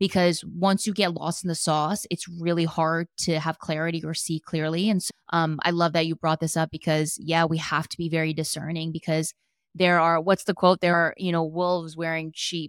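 A woman with an American accent and a fairly low pitch, in monotone, flat intonation at a moderate pace, with a dry, close sound with no echo and a very clean recording with a silent background. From US Northeast, New Jersey. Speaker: life coach. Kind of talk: casual interview.

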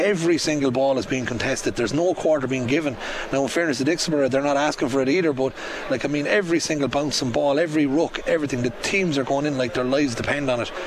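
Amid noticeable background noise, a fairly high-pitched man talks at a very fast pace with fairly even intonation and very even loudness. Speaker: hurling pundit. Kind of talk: half-time analysis.

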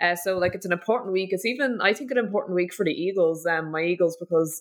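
A woman's fairly low voice at a very fast pace. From North Dublin, Ireland. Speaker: podcast co-host. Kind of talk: casual sports preview chat.

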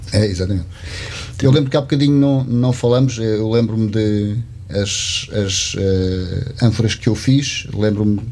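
Over noticeable background noise and audible room echo, a man talks at a moderate pace in a fairly low pitch with ordinary pitch variation. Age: 50s. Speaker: potter. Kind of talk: casual chat. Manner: halting.

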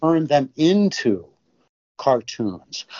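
A man speaks with lively intonation. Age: 60s. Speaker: cartoonist and illustrator. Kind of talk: interview. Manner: halting, many filler words.

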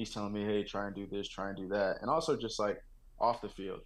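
In an American accent, a man with a fairly low pitch talks flatly in a monotone at a fairly quick pace. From Texas. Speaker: NFL rookie wide receiver. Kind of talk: interview.

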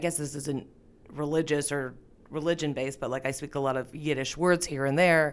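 Speaking with a Canadian accent, a woman has a very deep, low pitch. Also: very clean recording, silent background. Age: 30s. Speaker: comedian. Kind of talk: casual chat. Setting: studio.

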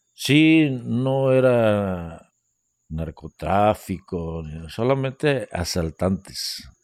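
On a very clean recording with a silent background and a dry, close sound with no echo, a man with a fairly low pitch talks at a very slow pace with very wide pitch swings. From Guerrero coast, Mexico. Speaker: retired bank employee. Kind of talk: storytelling interview.

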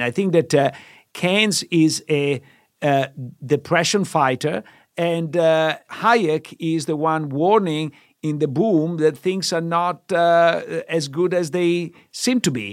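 Very slow speech from a man with a fairly high pitch, with an Italian accent, on a very clean recording with a silent background. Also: ordinary pitch variation. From Italy. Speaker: finance professor. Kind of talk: casual explanatory discussion.

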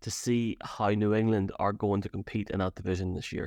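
A man with an Irish accent and a fairly low pitch at a moderate pace, in a very clean recording with a silent background and a dry, close sound with no echo. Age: 30s. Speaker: podcast co-host. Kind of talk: casual sports chat. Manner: halting, many fillers.

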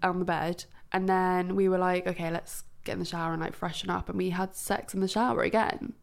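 A woman talks at a fairly quick pace, her pitch fairly low with little movement. Vocal fry runs through her voice.

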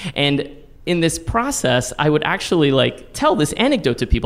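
Someone with an American accent speaks against noticeable background noise. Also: man. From Texas, San Antonio. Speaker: storytelling teacher and solo performer. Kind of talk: personal storytelling on stage. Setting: stage with audience.

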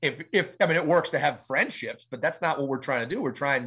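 With an American accent, a man talks at a fairly quick pace in a fairly high, bright, sharp voice against a quiet background. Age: 40s. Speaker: pastor. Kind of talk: interview. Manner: loud; animated.

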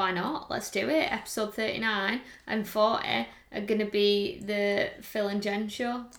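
There is noticeable background noise. The speech is fairly slow, with fairly even intonation. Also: woman, fairly high pitch for a woman. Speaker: fitness coach and podcast co-host. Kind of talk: casual chat.

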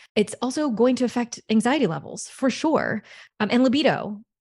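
A woman with an American accent, an ordinary speaking voice and ordinary pitch variation, at a fairly quick pace against a quiet background. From US South, Louisiana. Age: 30s. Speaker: sex coach. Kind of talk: casual interview chat.

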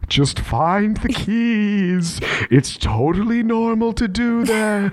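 A man puts on a character voice, speaking at a very slow pace. His pitch is high, with ordinary variation. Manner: eerie.

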